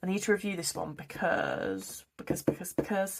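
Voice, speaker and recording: A woman's medium-pitched voice at a moderate pace, in a British accent. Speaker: budgeting vlogger. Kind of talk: casual talk to camera. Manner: chatty, rambling.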